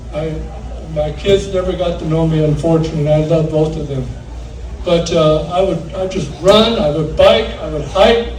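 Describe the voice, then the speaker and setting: With ordinary pitch variation and a moderate pace, a man talks while audible room echo and noticeable background noise surround him. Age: 80s+. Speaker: martial arts teacher. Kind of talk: acceptance speech. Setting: banquet with audience. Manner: halting.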